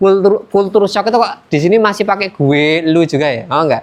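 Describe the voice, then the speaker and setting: At a moderate pace, a man talks with a Javanese accent and ordinary pitch variation. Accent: Javanese-accented Indonesian. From Yogyakarta, Indonesia. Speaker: student teacher. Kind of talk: classroom lesson. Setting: classroom. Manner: casual, conversational.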